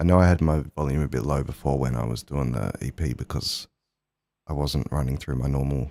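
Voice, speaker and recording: In an Australian accent, a man speaks at a very deep, low pitch with ordinary pitch variation. The sound is dry and close with no echo, on a very clean recording with a silent background. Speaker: musician livestreamer. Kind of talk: casual live stream chat.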